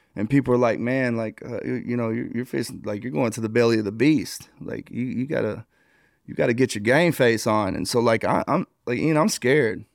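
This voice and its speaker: A man with an American accent and vocal fry, talking at a fairly quick pace with ordinary pitch variation. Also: medium pitch for a man. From Texas, small town. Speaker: former prison gang leader. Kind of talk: casual interview. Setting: hotel room.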